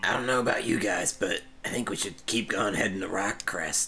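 Over clear background noise, a man does a raspy put-on character voice at a medium pitch, moving at a fairly quick pace. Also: fairly even intonation. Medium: actual play. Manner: blunt, brash.

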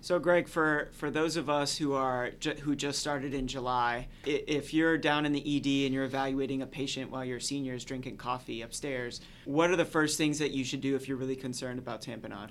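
A man with an American accent speaks at a fairly quick pace in a normal speaking voice, with hardly any pauses. His pitch is fairly high and his intonation fairly even. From Florida. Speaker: medical resident and podcast host. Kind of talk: casual chat.

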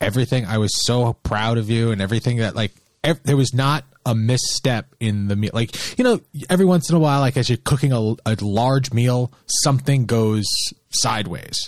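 A man with an unremarkable speaking voice talks at a moderate pace, with ordinary pitch variation and very even loudness. The sound is dry and close with no echo, and the background is quiet. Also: medium pitch for a man. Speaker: podcast co-host. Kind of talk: casual chat.

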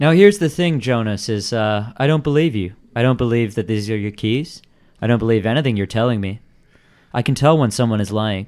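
Man with a normal speaking voice, medium pitch, ordinary pitch variation and a fairly quick pace. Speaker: podcast host. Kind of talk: casual chat, improv game play. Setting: live stream with chat, remote.

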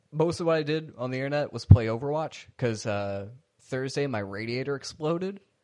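With a plain, everyday voice, a man speaks at a fairly quick pace with lively intonation. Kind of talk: casual comedic podcast banter. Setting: phone call.

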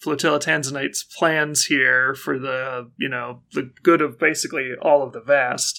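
Someone is plainly reading aloud.

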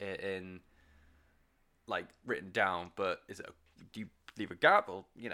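In a British accent, a man speaks at a moderate pace with a bright, sharp tone. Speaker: music podcast host. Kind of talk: solo podcast monologue. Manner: quiet; casual with fillers.

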